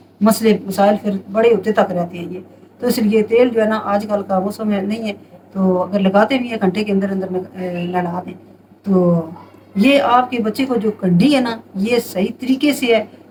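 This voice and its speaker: Over noticeable background noise, a woman talks at a moderate pace and a medium pitch. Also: ordinary pitch variation. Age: 60s. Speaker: home remedy advisor. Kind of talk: casual advice monologue.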